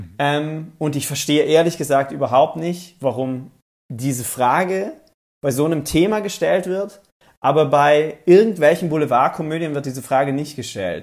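A man has a normal speaking voice. His pitch sits fairly high, with ordinary variation. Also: moderate pace. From South Tyrol, Italy. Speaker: TV presenter. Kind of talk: interview. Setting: video call.

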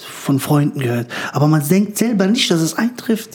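Background noise clearly present behind a man's moderately paced speech with huge pitch leaps. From former Yugoslavia, raised in Frankfurt-Höchst. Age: 30s. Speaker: stand-up comedian. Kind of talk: casual interview chat. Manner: talkative.

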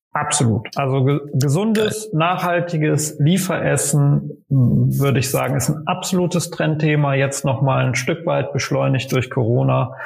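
With music in the background, the speech moves at a fairly slow pace with hardly any pauses, very even loudness and ordinary pitch variation. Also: man, fairly high pitch for a man. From western Germany, Aachen. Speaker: startup founder and CEO. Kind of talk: podcast interview. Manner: hesitant, many fillers.

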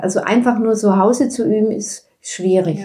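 A woman's voice comes through with a dark, mellow tone. It is somewhat breathy. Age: 70s. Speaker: yoga teacher. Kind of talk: casual interview.

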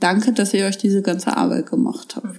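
A woman speaks at a medium pitch and a moderate pace, somewhat breathy with a dark, mellow tone. Her intonation stays fairly even. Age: 30s. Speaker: daycare centre director. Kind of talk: interview. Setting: at her daycare centre.

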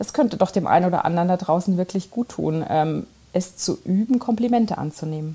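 A woman talks at a fairly quick pace and medium pitch, with ordinary pitch variation. Noticeable background noise is present. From East Germany. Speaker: listener sending voice message. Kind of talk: recorded voice message.

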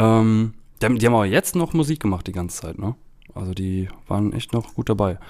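A man with an unremarkable speaking voice at a fairly low pitch, ordinary pitch variation, a fairly quick pace, and a very clean recording with a silent background. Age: 30s. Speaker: podcast host. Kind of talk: casual chat.

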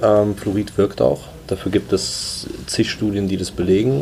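The man's pitch is fairly low. There is noticeable background noise. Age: 20s. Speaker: startup co-founder. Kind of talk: interview.

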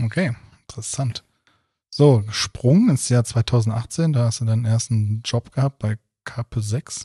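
Fairly slow, somewhat breathy speech from a man with a dark, mellow tone, medium pitch and ordinary pitch variation, long, frequent pauses, dry and close with no echo against a quiet background. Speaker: podcast interviewer. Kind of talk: casual interview chat.

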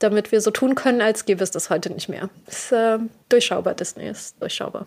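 Here is a woman with a plain, everyday voice, a fairly high pitch and ordinary pitch variation. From Berlin, Germany. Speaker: podcast host. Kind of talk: casual monologue.

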